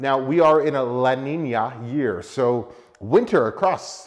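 In a quiet setting, a man's voice comes through. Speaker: car vlogger. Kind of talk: casual vlog chat. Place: garage.

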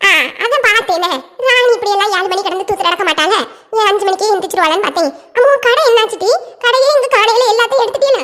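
This is a cartoonish character voice. It races along at a very fast pace. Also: woman, extremely high pitch for a woman, lively intonation. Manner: chatty, teasing.

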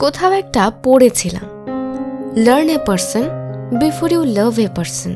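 Music is heard behind the speech. A woman talks with very wide pitch swings. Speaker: voice-over artist. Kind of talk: emotional monologue narration.

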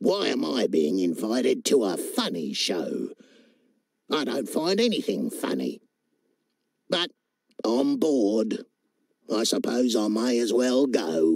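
Croaky and at a fairly slow pace, the put-on character voice leaves long, frequent pauses. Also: man, medium pitch for a man. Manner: bored, grumpy.

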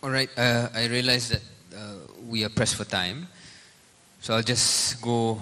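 With a Malaysian accent, a man talks at a moderate pace and medium pitch, his intonation fairly even, while noticeable background noise runs underneath. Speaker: politician. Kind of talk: panel discussion. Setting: stage with audience.

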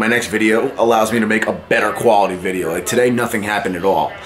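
Noticeable background noise sits under very fast speech that has ordinary pitch variation. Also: man. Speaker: vlogger. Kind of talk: casual vlog chat. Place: home room. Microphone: phone near.

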